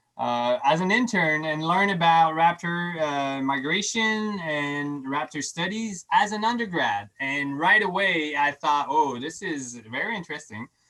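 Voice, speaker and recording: Hardly any pauses break up this speech in a French accent. The pace is fairly slow. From Quebec. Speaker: scientist. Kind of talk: lecture with Q&A. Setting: online video program. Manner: halting, many restarts.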